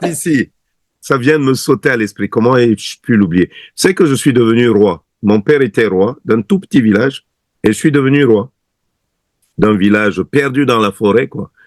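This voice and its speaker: A man with a Cameroonian accent, medium pitch and lively intonation at a fairly slow pace, in a dry, close sound with no echo. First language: Bassa (speaking French). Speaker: singer. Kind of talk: interview.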